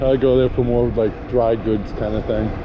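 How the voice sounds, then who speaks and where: A man talks at a fairly quick pace. The recording has audible room echo and noticeable background noise. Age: 60s. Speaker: vlogger. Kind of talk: casual vlog narration while riding. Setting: outdoors on an e-bike.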